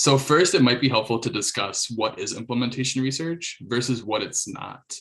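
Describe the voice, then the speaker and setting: A man with an American accent, medium pitch and ordinary pitch variation. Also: hardly any pauses. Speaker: nonprofit staff member leading a working group. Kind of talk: online presentation. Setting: video call. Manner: fast; hesitant, many fillers.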